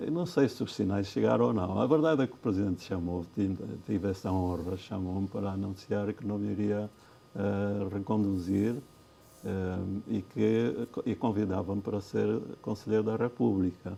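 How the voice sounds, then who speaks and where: This man's pitch is fairly low, with a dark, mellow tone. He keeps a moderate pace and ordinary pitch variation. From Angola (Cuito, Bié). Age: 70s. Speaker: former justice minister and lawyer. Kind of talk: TV interview. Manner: halting, many repetitions.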